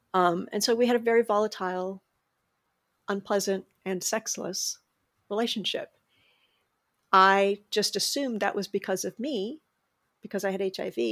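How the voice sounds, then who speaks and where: A woman at medium pitch and a moderate pace, fairly even in intonation, with long, frequent pauses, in a dry, close sound with no echo and a very clean recording with a silent background. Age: 50s. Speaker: HIV advocate and memoir author. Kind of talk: interview testimony.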